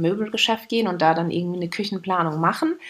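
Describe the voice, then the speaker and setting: A woman at a very fast pace, medium in pitch, with ordinary pitch variation. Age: 30s. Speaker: podcast co-host. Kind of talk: casual chat.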